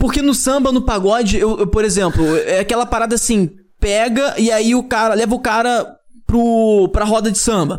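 A man's high-pitched voice at a moderate pace, with very even loudness and ordinary pitch variation. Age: 20s. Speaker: podcast host. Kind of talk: casual chat. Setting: studio.

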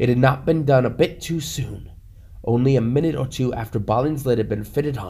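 Someone reads aloud in a natural voice, the pitch shifting by ordinary amounts.

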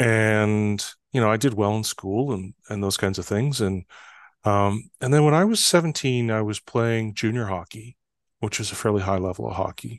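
A man with an ordinary speaking voice talks in a Canadian accent, fairly low in pitch and at a moderate pace, with ordinary pitch variation. The sound is dry and close with no echo, over a quiet background. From northern Canada. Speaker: trust expert and author. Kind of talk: interview conversation.

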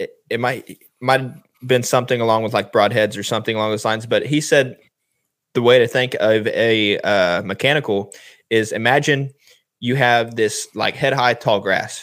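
The man has a normal speaking voice, medium in pitch, with fairly even intonation and a moderate pace. The recording is very clean, with a silent background. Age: 20s. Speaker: hunting podcast co-host. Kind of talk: casual chat.

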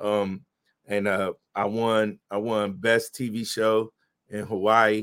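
A man is heard with a dry, close sound with no echo, on a very clean recording with a silent background. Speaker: filmmaker and actor.

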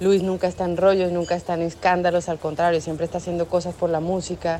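A woman speaks at a fairly low pitch. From Colombia, Bogotá. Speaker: singer. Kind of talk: recorded testimonial.

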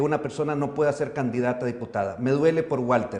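Noticeable background noise and audible room echo surround the man's voice. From El Salvador. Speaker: journalist and TV host. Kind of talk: interview. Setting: studio.

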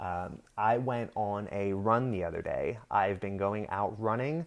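A man with an American accent and a normal speaking voice talks at a fairly slow pace, his fairly low pitch held in fairly even intonation. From Pennsylvania. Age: 20s. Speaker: podcast host. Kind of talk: solo rant podcast. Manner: casual, with many filler words.

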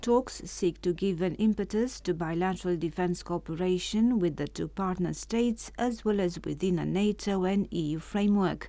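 A woman speaks in a Romanian accent at a moderate pace. She hardly pauses at all. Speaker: radio news presenter. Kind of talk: news reading. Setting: studio.

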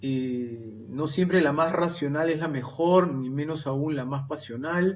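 The speaker goes at a very slow pace with ordinary pitch variation. Audible room echo surrounds the voice. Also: man. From Lima, Peru. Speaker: novelist and engineer. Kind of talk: radio interview.

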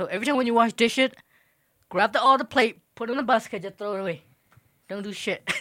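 A man's raised, projected voice, extremely high-pitched, bright and sharp in tone, at a very fast pace with big swings in loudness and long, frequent pauses, on a very clean recording with a silent background. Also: ordinary pitch variation. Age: 20s. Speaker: podcast guest, friend of host. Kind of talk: casual chat. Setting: home bedroom.

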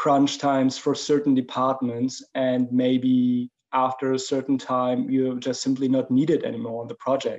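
In a German accent, a man speaks at a fairly slow pace with a medium pitch and monotone, flat intonation. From Germany. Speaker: 3D creature artist. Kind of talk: interview conversation.

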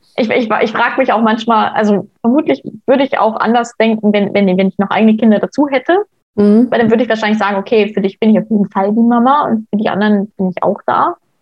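A woman talks at a very fast pace in a fairly high, somewhat breathy voice. Her loudness stays very even, and her pitch varies in an ordinary way. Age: 20s. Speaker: stepmother sharing her experience. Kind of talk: casual interview.

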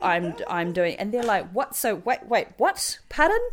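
Over noticeable background noise, a woman with a high pitch speaks with a New Zealand accent. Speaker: medieval fighter and contract data worker. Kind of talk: casual interview chat.

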